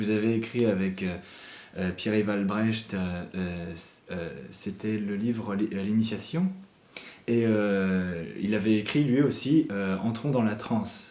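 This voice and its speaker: A man's fairly low, dark, mellow voice at a very slow pace, fairly even in intonation, with long, frequent pauses. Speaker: interviewer. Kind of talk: interview question.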